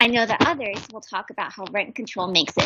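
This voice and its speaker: A woman's bright, sharp tone at a fairly high pitch and a very fast pace. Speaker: public hearing witness, landlord. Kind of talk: public testimony. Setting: remote video call. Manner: soft-spoken. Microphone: cutting in and out.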